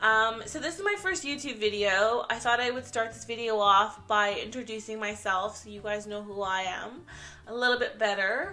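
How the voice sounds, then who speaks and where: Audible room echo surrounds a woman speaking at a moderate pace in a fairly high voice. Her loudness swings widely. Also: ordinary pitch variation. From Canada. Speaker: vlogger and makeup artist. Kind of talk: casual vlog introduction. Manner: casual, lots of fillers.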